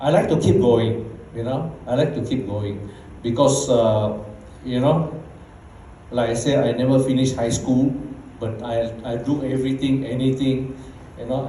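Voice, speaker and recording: Amid noticeable background noise and audible room echo, a man with a Bruneian accent talks at a moderate pace with long, frequent pauses. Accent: Bruneian Malay English. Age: 60s. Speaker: network marketing leader. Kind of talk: motivational talk. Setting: stage with audience. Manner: casual.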